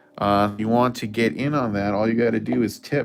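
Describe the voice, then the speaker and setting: At a moderate pace, a man talks with fairly even intonation at a medium pitch. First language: Spanish. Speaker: artist streaming live drawing. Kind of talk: live stream casual chat. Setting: live stream. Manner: hesitant, many fillers.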